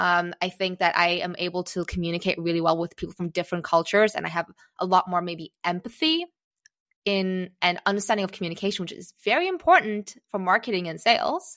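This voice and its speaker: A woman of medium pitch at a very fast pace, with a slight American accent, fairly even intonation and a dry, close sound with no echo. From Singapore. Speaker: business and marketing strategist. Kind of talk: podcast interview conversation. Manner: hesitant, many fillers.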